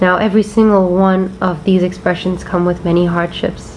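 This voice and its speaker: Noticeable background noise surrounds a woman with an American accent who speaks at a fairly low pitch with monotone, flat intonation. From India, Bombay. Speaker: former tennis player turned media entrepreneur. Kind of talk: personal testimony.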